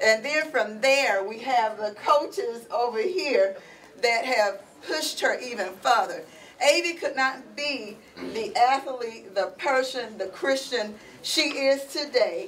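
Over light background noise, a woman speaks at a very slow pace in a high-pitched voice. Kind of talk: emotional speech of thanks. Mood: emotional, grateful. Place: classroom. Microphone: camera far.

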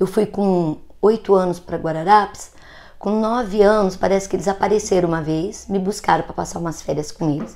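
The woman's tone is dark and mellow. Her intonation is fairly even. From interior of São Paulo state, Brazil. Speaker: grandmother vlogger, ASMR channel host. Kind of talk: elder telling her life story, emotional personal testimony to the 'grandchildren' viewers. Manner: slow, gentle, reflective, tender and at times wistful, with a grandmotherly warmth. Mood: reflective, warm. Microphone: earbuds.

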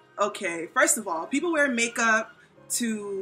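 A woman talks with ordinary pitch variation. Faint music plays in the background. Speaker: vlog host. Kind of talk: casual vlog chat. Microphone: phone near.

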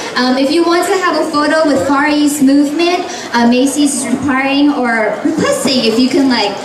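Noticeable background noise sits under a woman's voice. She speaks at a fairly slow pace with a high pitch. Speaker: event host. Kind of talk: event hosting announcements. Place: shop.

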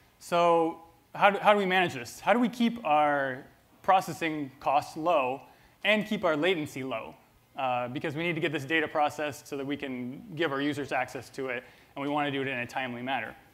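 A man talking at a fairly quick pace with ordinary pitch variation. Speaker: presenter. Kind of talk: conference talk. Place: stage. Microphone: lapel.

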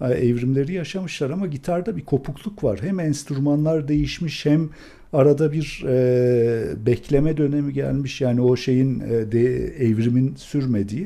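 Speaking at a fairly slow pace, a man with a fairly high pitch and a dark, mellow tone uses ordinary pitch variation. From Turkey. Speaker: classical guitarist and music professor; music professor. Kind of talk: casual interview. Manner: animated. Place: home room. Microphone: studio mic.

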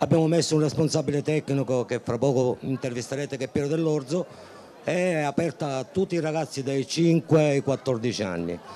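A man speaks at a fairly high pitch and moderate pace, with ordinary pitch variation. His tone is dark and mellow over light background noise. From Sicily. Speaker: youth football technical director. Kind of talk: interview. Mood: proud, hopeful. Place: stadium. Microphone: handheld.

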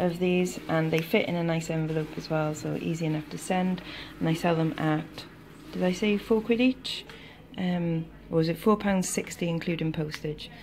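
A woman with a fairly low pitch speaks at a moderate pace in an ordinary speaking voice, with light background noise. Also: fairly even intonation. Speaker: online reseller. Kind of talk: casual vlog chat. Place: kitchen. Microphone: phone near.

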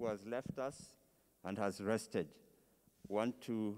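A man's voice carries a dark, mellow tone. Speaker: service host. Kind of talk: announcements at memorial service. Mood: calm, solemn. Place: church. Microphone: handheld.

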